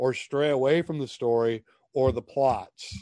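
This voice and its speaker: Against a quiet background, a man with an Upper Midwest accent has a dark, mellow tone in a dry, close sound with no echo. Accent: Upper Midwest American. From US Midwest (Minnesota). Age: 50s. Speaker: author and ministry leader. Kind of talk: casual interview chat.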